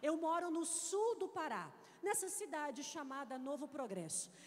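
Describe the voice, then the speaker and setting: The woman's pitch swings very widely. She speaks at a fairly slow pace, with audible room echo. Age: 30s. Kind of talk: sermon.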